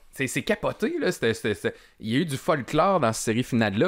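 His pitch leaps across a very wide range as this man rattles along at a very fast pace. Nothing can be heard behind him. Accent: Quebec. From Quebec City region, Quebec; Quebec. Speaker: podcast panelist. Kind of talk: casual chat. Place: studio. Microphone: studio mic.

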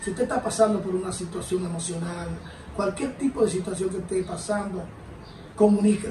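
Light background noise and audible room echo accompany a man speaking with a Dominican accent. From Dominican Republic. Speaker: former dancer in recovery; interviewee. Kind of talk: testimony. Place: home room.

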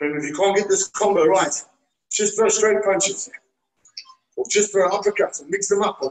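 Here a man with a high-pitched voice talks at a moderate pace with fairly even intonation. The background is quiet. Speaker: fitness coach. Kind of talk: workout instruction. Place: gym. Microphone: camera far.

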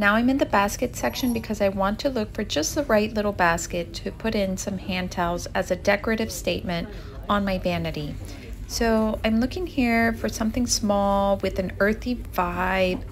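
Light background noise sits behind a woman speaking. She keeps a moderate pace with ordinary pitch variation. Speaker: home decor vlogger. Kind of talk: casual vlog chat. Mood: upbeat, enthusiastic. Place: shop. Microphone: phone near.

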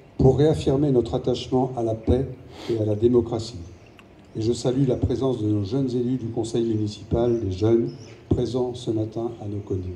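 A somewhat breathy man at a moderate pace, with ordinary pitch variation and light background noise. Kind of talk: formal commemorative speech. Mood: solemn. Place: street.

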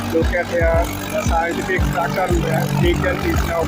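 Loud music plays in the background. The sound is dry, with no echo. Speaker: vlogger. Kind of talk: casual vlog commentary. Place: open country. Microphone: phone near.

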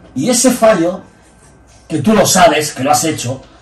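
Audible room echo surrounds a man whose high voice swings very widely in pitch. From Spain. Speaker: bodybuilding coach and former competitor; bodybuilding coach. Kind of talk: casual chat. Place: office.

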